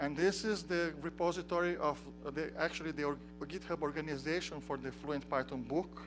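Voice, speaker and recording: A man speaks at a fairly quick pace with a Portuguese accent, music playing in the background. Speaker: software developer and tutorial instructor. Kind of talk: technical tutorial. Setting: conference tutorial room with audience. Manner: halting, with frequent restarts.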